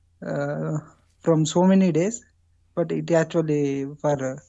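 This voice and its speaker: This voice has fairly even intonation. It comes with an Indian accent. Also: woman. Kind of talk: testimony on call-in show. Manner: halting, many fillers.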